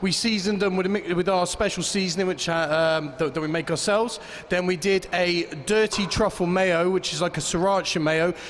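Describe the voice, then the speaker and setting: A man with a high pitch speaks at a fairly quick pace in fairly even intonation over noticeable background noise. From Great Britain. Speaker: competition chef. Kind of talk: dish presentation to judges.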